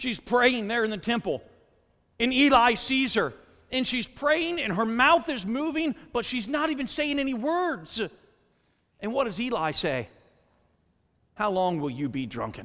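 An extremely high-pitched man's raised, projected voice, bright and sharp in tone, with very wide pitch swings, a fairly slow pace, long and frequent pauses, and a quiet background. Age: 40s. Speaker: pastor. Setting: church sanctuary before a congregation. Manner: conversational asides with filler words like uh; earnest, rising exhortation with repeated rhetorical questions. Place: church. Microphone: headset.

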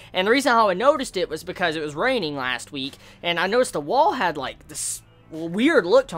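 A man's raised, projected voice at a very fast pace, faint music in the background. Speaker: vlogger. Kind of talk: casual vlog chat. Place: home room.

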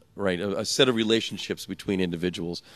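Faint music plays in the background as a man talks at a fairly quick pace in a fairly low pitch with ordinary pitch variation. The sound is dry with no echo. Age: 50s. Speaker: author and tech writer; conference interviewee. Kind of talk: casual interview. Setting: conference. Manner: halting. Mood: playful, joking. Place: hall. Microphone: handheld.

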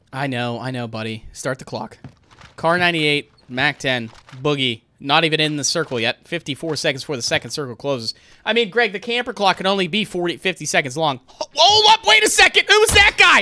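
The tone is bright, sharp and animated. The intonation is lively. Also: man, fairly high pitch for a man. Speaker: gaming commentator and streamer. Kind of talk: live sports-style shoutcast commentary of a game. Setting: streamed gameplay commentary recording. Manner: animated, quick play-by-play delivery with casual banter; laughs often, relaxed and jokey. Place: home room.

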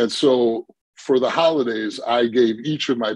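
Fairly quick and with an American accent, a man talks with ordinary pitch variation in a dry sound with no echo and a quiet background. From Milwaukee, Wisconsin. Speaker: tech company founder and CEO. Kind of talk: casual interview. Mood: warm, reflective. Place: home room. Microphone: video call.

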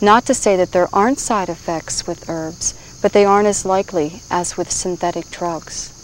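Over light background noise, a woman talks at a moderate pace with ordinary pitch variation, and the sound is dry with no echo. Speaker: herbal teacher. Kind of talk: instructional presentation. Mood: calm, gentle. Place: forest.

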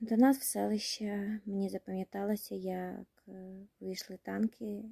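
A very slow pace over a quiet background. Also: woman, dry sound with no echo. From Kherson region, Ukraine. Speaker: war refugee. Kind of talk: personal appeal to camera. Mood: sad, tired, emotional. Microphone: phone near.

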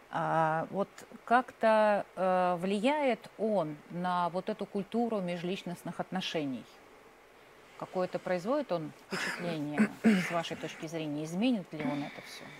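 A woman speaks at a very slow pace in a medium pitch. Her loudness swings widely. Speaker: panel moderator. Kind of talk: panel moderation. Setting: stage with audience.

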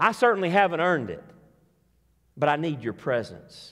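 With a fairly bright tone and a fairly high pitch, a man speaks on a very clean recording with a silent background.

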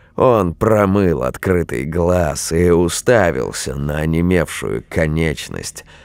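Against noticeable background noise, a man with a very deep, low voice speaks at a very slow pace. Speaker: audiobook narrator of scary stories. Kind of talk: scripted horror story narration, reading aloud. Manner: hushed, eerie, slow and tense, building dread; shifts between voices: hoarse old witch, frightened young man.

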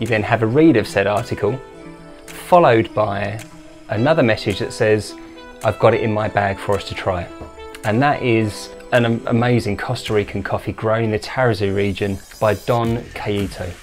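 Faint music in the background behind a man with a fairly low pitch, ordinary pitch variation and a moderate pace. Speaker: coffee channel host. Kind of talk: casual vlog chat. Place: home room.

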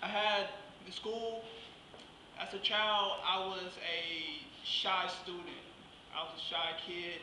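A man with a Southern US accent projects his high voice in a flat monotone. Audible room echo and light background noise surround him. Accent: Southern US (Georgia). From southwest Georgia, US South. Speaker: guest speaker, vocational rehabilitation client. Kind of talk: speech at a luncheon. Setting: luncheon with live audience. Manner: halting. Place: hall. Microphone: camera far.

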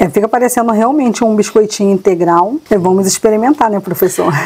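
A woman's fairly high-pitched, normal speaking voice shows ordinary pitch variation. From Rio de Janeiro, Brazil. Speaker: cook; cook demonstrating the recipe. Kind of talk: cooking demonstration. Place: kitchen.

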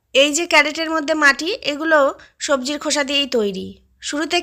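A woman speaks in a raised, projected voice with a bright, sharp tone and fairly even intonation. The recording is very clean, with a silent background. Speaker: gardening YouTuber. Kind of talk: tutorial. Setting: outdoors.

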